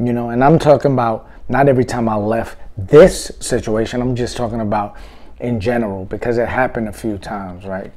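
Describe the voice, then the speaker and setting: With little behind him, a man delivers his words at a moderate speed. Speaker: vlogger telling a story. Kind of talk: casual vlog chat. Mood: reflective, wry. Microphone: phone near.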